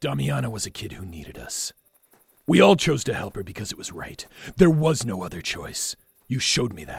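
A man puts on a character voice, fairly low in pitch with very wide pitch swings. He talks at a fairly quick pace. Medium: audio drama. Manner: blunt.

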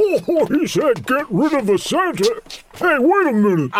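In a put-on character voice, someone speaks at a fairly slow pace with a high pitch that swings very widely. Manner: jolly.

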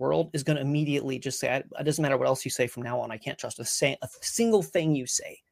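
A normal speaking voice with ordinary pitch variation, captured in a very clean recording against a silent background. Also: man. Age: 40s. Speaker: conspiracy content creator. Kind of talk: casual interview on a live stream. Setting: live stream.

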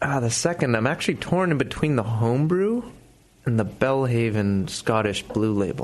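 An ordinary speaking voice with lively intonation, a moderate pace and very even loudness. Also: man, medium pitch for a man. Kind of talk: casual chat.

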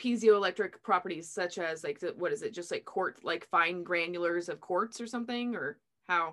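A woman's normal speaking voice at medium pitch, with a moderate pace and ordinary pitch variation. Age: 30s. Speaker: podcast host. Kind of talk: casual interview.

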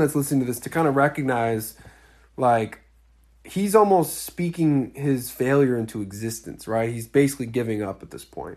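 A man with an unremarkable speaking voice talks at a moderate pace and medium pitch. His loudness swings a lot against a quiet background. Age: 20s. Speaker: dating coach podcast host. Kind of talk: casual solo podcast commentary. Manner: casual, filler-heavy with repetitions.

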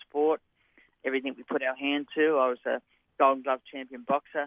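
Talking at a fairly quick pace, a man with an Australian accent uses a fairly high voice with flat, monotone intonation. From New South Wales, Australia. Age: 60s. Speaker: retired jockey. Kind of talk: interview.

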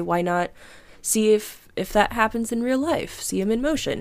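On a very clean recording with a silent background, a woman with an American accent and an unremarkable speaking voice talks at a fairly slow pace with ordinary pitch variation. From US Midwest (Missouri). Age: 20s. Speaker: podcast guest. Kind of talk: casual chat.

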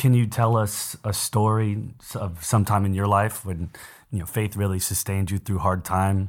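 A man speaks at a moderate pace in an ordinary speaking voice, fairly low in pitch with fairly even intonation. The recording is very clean, with a silent background. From San Antonio, Texas. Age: 20s. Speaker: podcast co-host. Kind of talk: casual chat.

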